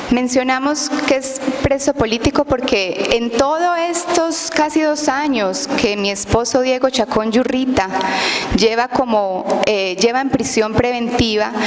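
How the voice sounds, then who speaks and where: The speaker goes at a fairly slow pace with ordinary pitch variation, and noticeable background noise is present. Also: woman, high pitch for a woman. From outside Guatemala. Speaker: testifying witness, wife of a detained lawyer. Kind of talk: testimony at a public hearing.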